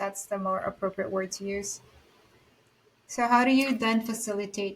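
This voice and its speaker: In a somewhat breathy voice of medium pitch, a woman with a non-native accent speaks with long, frequent pauses. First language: not English. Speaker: podcast co-host, junior coach. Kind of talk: casual discussion.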